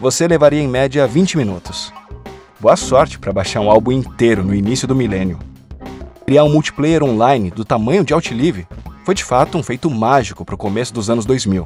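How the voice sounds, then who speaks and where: With music in the background, a man of medium pitch talks at a fairly quick pace with lively intonation. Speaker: voice actor. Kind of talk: documentary narration. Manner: natural.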